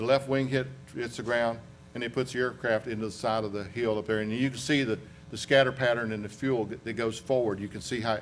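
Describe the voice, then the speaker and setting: A man's medium-pitched voice with a Southern US accent, fairly even intonation and a fairly quick pace, with audible room echo. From US South, western North Carolina. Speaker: aviation accident investigator. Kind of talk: lecture. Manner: conversational.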